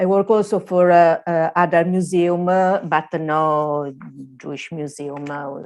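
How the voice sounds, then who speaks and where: The speaker uses an Italian accent, with fairly even intonation and a fairly slow pace. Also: woman, fairly low pitch for a woman, big swings in loudness, quiet background. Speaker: museum services manager. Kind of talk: conference presentation. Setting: video call. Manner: halting.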